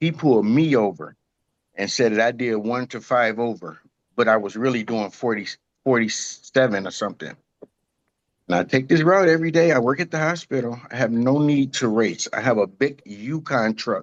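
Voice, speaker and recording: A man talks with lively intonation, his unremarkable speaking voice sitting at a medium pitch and moving at a moderate pace. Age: 60s. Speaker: defendant in traffic court. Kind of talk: testimony. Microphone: connection dropped.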